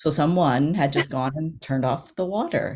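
Speaking at a moderate pace, this woman's voice sits at a very deep, low pitch. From Chinese-American, US. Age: middle-aged. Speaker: theater company founder and producer. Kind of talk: casual interview chat. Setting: video call from home.

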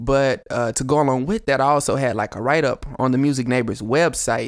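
Against a silent background on a very clean recording, a man talks with a Southern US accent. His intonation stays fairly even. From Chattanooga, Tennessee. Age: 20s. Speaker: rapper. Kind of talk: casual interview chat.

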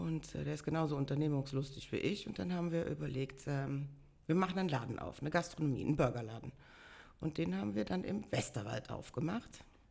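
A woman speaks fairly quickly in a very deep, low voice with a dark, mellow tone. Her intonation is lively, and vocal fry runs through it. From Bonn-Beuel, Germany. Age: 50s. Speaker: carnival organizer and pub owner. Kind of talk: casual interview. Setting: in person at her home.

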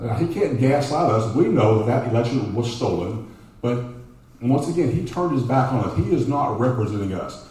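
In a room with audible echo, a man with a Texan accent speaks at a fairly quick pace and medium pitch with ordinary pitch variation. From Texas, Dallas (Oak Cliff). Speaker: congressional candidate, educator. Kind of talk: campaign speech. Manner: halting, repeats words.

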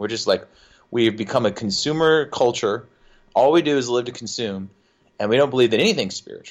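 A man with an unremarkable speaking voice and an American accent talks at a fairly quick pace over a quiet background. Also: medium pitch for a man, ordinary pitch variation. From US South. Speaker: musician and podcaster. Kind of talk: casual chat.

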